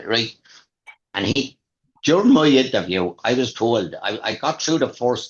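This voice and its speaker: In a Waterford accent, a man speaks at medium pitch and a fairly slow pace, with lively intonation and long, frequent pauses. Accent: Irish, Waterford. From Waterford, Ireland. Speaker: retired police diver. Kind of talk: interview answer. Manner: casual, conversational.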